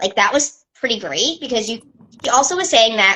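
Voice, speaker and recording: A woman speaks at a fairly quick pace with an animated tone. Her voice is bright, sharp and fairly high. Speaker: travel business owner doing an Instagram live. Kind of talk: casual live stream chat. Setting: social media live video. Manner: fast.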